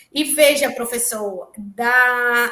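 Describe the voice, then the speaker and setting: A woman with a northeastern Brazilian accent uses a raised, projected voice at a high pitch, with ordinary pitch variation. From Brazil, interior of Bahia (Itabuna). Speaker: researcher, graduate student. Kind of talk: invited talk in an online class. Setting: online live session. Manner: halting, many fillers.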